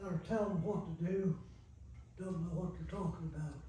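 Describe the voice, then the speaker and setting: With an American accent, a man talks in a high pitch over noticeable background noise and audible room echo. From Granville, Ohio, US Midwest. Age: 90s. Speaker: elderly local resident recalling childhood. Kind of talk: oral history interview. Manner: casual, plain-spoken with hesitations.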